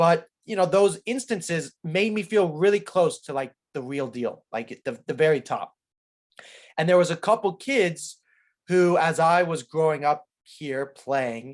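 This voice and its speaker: Fairly slow but lively in intonation, a high-pitched man speaks on a very clean recording with a silent background. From California, US. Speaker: professional soccer player. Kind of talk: interview. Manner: articulate.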